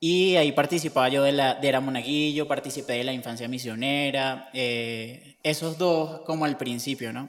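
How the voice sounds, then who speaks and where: A man with an ordinary speaking voice talks at a moderate pace with hardly any pauses. His pitch is fairly high, and his intonation fairly even. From Venezuela, Barquisimeto. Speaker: seminarian, theology student. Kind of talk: interview testimony.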